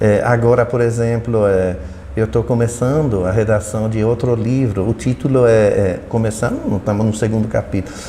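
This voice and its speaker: A man's medium-pitched voice at a moderate pace, with fairly even intonation, very even loudness and noticeable background noise. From Belgium. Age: 70s. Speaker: retired professor. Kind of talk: interview. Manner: halting, many repetitions.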